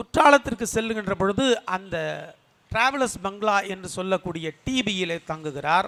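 A man projects a raised voice with a bright, sharp tone and lively intonation. The sound is dry and close, with no echo. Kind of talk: political rally speech. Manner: formal, storytelling.

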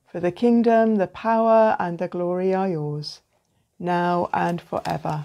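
A dark, mellow tone at a fairly slow pace. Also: woman. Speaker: night prayer leader. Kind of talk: fervent prayer, liturgical night prayer with short reflection. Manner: earnest, devout, fervent. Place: home room. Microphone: phone near.

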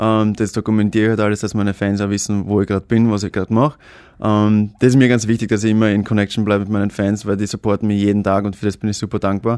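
Delivered at a very fast pace with monotone, flat intonation, the speech sounds dry with no echo over a quiet background. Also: man, fairly low pitch for a man. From Austria. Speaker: actor and social media star; actor. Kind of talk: casual chat. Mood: cheerful, moved at end. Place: studio. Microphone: studio mic.

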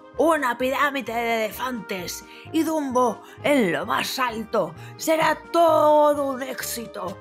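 A woman in a put-on character voice speaks slowly at a high pitch with lively intonation while faint music plays in the background.

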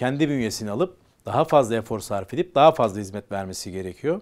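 A man's lively intonation at a fairly quick pace, against a quiet background. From Istanbul, Turkey (Kumkapı); Istanbul. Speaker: business association leader; guest. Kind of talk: interview. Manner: hesitant, many fillers. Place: studio. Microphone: lapel.

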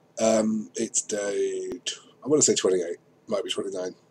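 Background noise is clearly audible here. Through it comes a man's voice. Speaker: vlogger. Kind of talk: casual video diary. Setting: at a computer. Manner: hesitant, many fillers.

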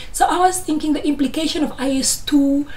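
A woman speaks in an animated tone. Light background noise is present. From Namibia, Grootfontein; Namibia. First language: Afrikaans. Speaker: YouTuber, chartered accountant; candidate. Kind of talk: educational vlog. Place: home room. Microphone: phone near.

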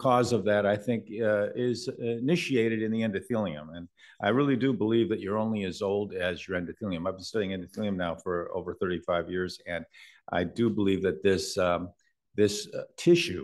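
A man with a normal speaking voice, fairly low in pitch with ordinary variation, at a moderate pace against a quiet background. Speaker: invited medical lecturer. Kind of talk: lecture. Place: hall.

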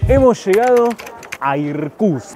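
Male speech in a Rioplatense accent with very wide pitch swings, dry with no echo, and light background noise. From Argentina. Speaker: travel vlogger. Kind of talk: travel vlog narration. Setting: on a train. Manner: animated.

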